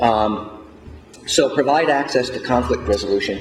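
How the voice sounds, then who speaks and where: The voice moves at a moderate pace through audible room echo and noticeable background noise. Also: man. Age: 60s. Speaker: mediator and elder law panelist. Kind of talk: conference panel presentation. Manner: halting, many fillers.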